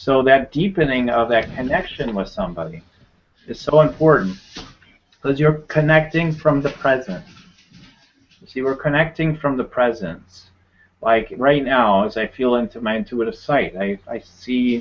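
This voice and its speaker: This man's voice sits at a medium pitch. His intonation is lively. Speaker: energy healer and coach. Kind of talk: live webinar teaching. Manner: fast.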